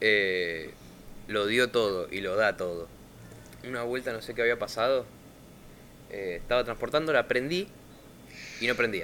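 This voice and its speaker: A man with a Rioplatense accent, at a fairly slow pace with long, frequent pauses and ordinary pitch variation. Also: medium pitch for a man. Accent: Argentine Rioplatense Spanish. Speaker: podcast host. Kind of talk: casual chat.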